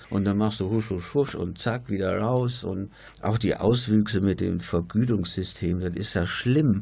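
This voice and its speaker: A man's fairly low, somewhat breathy voice with a dark, mellow tone and ordinary pitch variation, at a fairly slow pace, in a very clean recording with a silent background. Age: 60s. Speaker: retired nurse. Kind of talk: radio panel discussion. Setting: studio.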